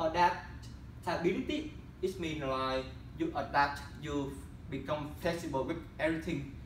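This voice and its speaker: Fairly slow man's voice with audible room echo and noticeable background noise. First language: not English. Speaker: student presenting internship. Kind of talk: class presentation. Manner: halting.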